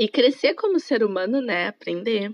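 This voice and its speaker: A plain, everyday voice moves at a fairly slow pace with ordinary pitch variation. The sound is dry and close, with no echo. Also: woman. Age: 20s. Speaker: tourism student, former exchange worker. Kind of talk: casual interview chat.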